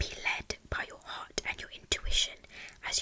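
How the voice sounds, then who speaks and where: Against noticeable noise in the background, a whisper moves at a moderate speed. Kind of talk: ASMR whispered horoscope reading. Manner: whispered, soft, relaxing.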